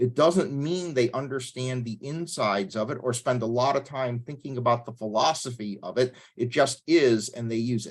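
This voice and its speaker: A man talks at a moderate pace in an ordinary speaking voice, medium in pitch with ordinary pitch variation. Hardly pausing, his loudness swings widely against a quiet background. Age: 60s. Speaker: pastor leading a church tech workshop. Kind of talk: workshop lecture.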